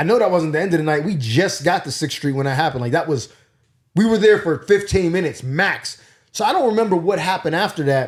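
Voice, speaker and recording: Very fast and animated, a man with a Pittsburgh accent speaks at a high pitch with lively intonation. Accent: Pittsburgh accent, mistaken for New York. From Pittsburgh, Pennsylvania, US. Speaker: comedian. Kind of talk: casual storytelling.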